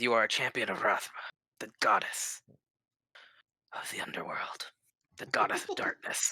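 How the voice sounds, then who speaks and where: A man whispers in a put-on character voice at a moderate pace. He leaves long, frequent pauses. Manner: ominous, dramatic.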